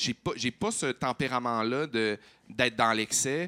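At a fairly slow pace, a man speaks in a medium-pitched, bright, sharp voice with ordinary pitch variation. The sound is dry and close, with no echo. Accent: Quebec. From Quebec, Saguenay (Chicoutimi). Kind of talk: casual chat. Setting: stage with audience.

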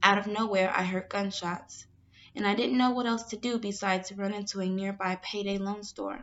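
A woman with an American accent, an ordinary speaking voice, medium pitch, fairly even intonation and moderate pace. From Chicago, US Midwest. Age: 20s. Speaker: university student. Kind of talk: reading aloud.

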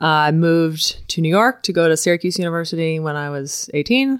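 On a very clean recording with a silent background, a woman with an American accent uses a plain, everyday voice at a fairly low pitch and moderate pace. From Florida, US. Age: 30s. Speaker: CrossFit author and communicator. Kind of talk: casual chat. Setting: in person at host's home.

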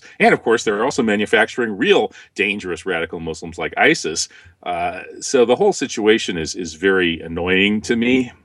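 An unremarkable speaking voice from a man with an American accent, at a fairly quick pace with ordinary pitch variation. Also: fairly low pitch for a man. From US Midwest. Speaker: author and former lecturer. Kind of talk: interview.

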